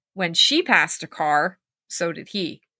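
In a dry, close sound with no echo and a very clean recording over a silent background, a woman speaks in a bright, sharp tone with lively intonation. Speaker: podcast host and storyteller. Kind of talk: ghost story telling, reading a scary tale aloud.

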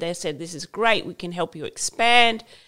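On a very clean recording with a silent background, a woman with an Australian accent talks at a moderate pace. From Queensland, Australia. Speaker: fashion brand founder. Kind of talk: interview.

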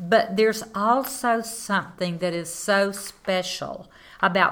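A woman with a Southern US accent at a very slow pace, with ordinary pitch variation. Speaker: landowner and tree farmer. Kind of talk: interview.

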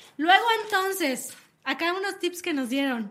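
Her tone is bright, sharp and animated. This woman's pitch swings very widely. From Mexico City. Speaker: radio host. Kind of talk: casual radio talk show. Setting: radio studio.

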